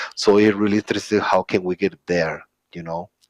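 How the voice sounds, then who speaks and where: With a Spanish accent, a man talks at a moderate pace and a fairly low pitch, with fairly even intonation in a dry, close sound with no echo. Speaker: open source community speaker. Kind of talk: conference talk. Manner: halting.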